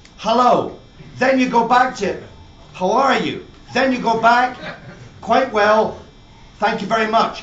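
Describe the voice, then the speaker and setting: Over noticeable background noise, a man with a Scottish accent speaks fairly slowly in an extremely high pitch. His intonation is fairly even, with long, frequent pauses. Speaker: master whisky blender. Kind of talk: humorous live talk at a whisky show.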